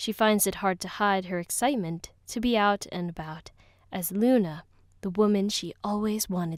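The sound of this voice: A reading voice, unforced.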